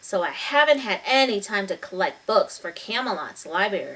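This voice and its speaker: Using a put-on character voice, a woman talks at a moderate pace with a fairly high pitch. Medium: read story. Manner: calm, mysterious.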